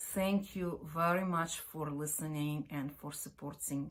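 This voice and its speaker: The delivery is fairly slow. Intonation remains fairly even. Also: woman. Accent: Ukrainian. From Ukraine. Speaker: opera company artistic director and pianist. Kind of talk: video introduction. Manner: halting with fillers.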